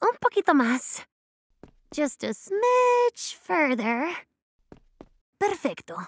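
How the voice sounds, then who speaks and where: A cartoonish character voice that sounds female, pitched high, with very wide swings in pitch, a very slow pace and long, frequent pauses. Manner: sugary, competitive.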